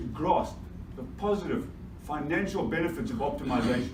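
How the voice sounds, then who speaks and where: Over noticeable background noise and audible room echo, a man speaks at a moderate pace with lively intonation. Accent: Zimbabwean. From Zimbabwe, Bulawayo. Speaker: mining energy specialist. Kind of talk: conference presentation. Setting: stage with audience. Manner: energetic.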